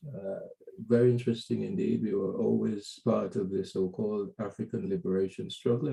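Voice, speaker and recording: Using vocal fry, a man speaks at a moderate pace and medium pitch with very wide pitch swings. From Guyana. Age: 60s. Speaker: journalist and business consultant. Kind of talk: interview. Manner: halting with fillers.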